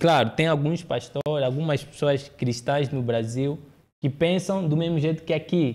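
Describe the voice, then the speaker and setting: Fairly slow in pace, a man talks at a fairly high pitch with ordinary pitch variation. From Angola, partly raised in Brazil. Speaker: public speaker; podcast host. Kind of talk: interview conversation. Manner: halting, frequent repetitions. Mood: earnest, opinionated. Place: studio. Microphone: studio mic.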